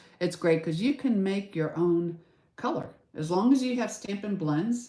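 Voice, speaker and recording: A woman talks with lively intonation and a dark, mellow tone. Room echo is audible. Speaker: craft demonstrator. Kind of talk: tutorial. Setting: live stream. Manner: loud; casual, chatty.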